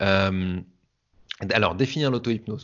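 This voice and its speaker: Talking at a fairly slow pace, a man has a fairly low pitch with ordinary pitch variation. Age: 30s. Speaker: hypnotherapist. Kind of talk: interview. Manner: animated.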